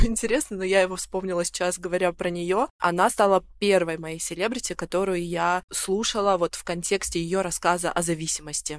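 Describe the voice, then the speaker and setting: In a plain, everyday voice, a woman speaks at a medium pitch and moderate pace with fairly even intonation. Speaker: youtube blogger. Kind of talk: casual chat.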